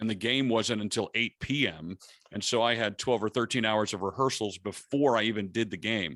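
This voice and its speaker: A plain, everyday voice with an American accent moves at a fairly quick pace with ordinary pitch variation. The recording is very clean, with a silent background and a dry, close sound with no echo. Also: man, fairly low pitch for a man. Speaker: public address announcer. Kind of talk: interview answer.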